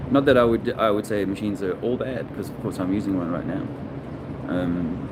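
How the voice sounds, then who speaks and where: Over noticeable background noise and audible room echo, the voice moves at a fairly quick pace with ordinary pitch variation. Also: man, fairly low pitch for a man. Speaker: video blogger. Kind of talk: casual monologue. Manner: halting; soft-spoken.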